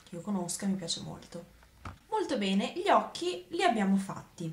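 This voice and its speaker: A woman keeps a moderate pace while audible echo fills the room. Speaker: beauty vlogger. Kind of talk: tutorial. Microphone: phone near.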